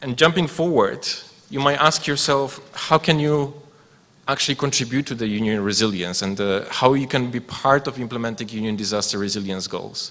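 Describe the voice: At a moderate pace, a man with medium pitch, ordinary pitch variation and a fairly bright tone does the talking.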